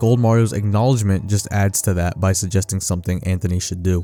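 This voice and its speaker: With music in the background, a man talks at a very fast pace, his fairly low pitch showing ordinary variation. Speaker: video essay narrator. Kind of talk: ARG analysis narration.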